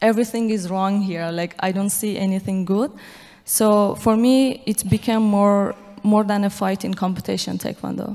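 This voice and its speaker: In a dark, mellow tone, a woman talks at a moderate pace with fairly even intonation. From Iran, Afghan family. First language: Dari/Persian. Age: 20s. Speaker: athlete and activist; guest. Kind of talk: panel interview on stage. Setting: stage with audience. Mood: earnest, passionate. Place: stage. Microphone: handheld.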